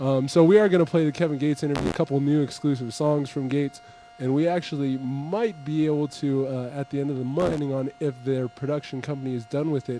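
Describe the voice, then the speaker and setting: Over noticeable background noise, a man rattles off words at a very fast pace with hardly any pauses, at a fairly high pitch with ordinary pitch variation. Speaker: hip-hop radio show host. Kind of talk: live radio show talk. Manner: stuttering, halting.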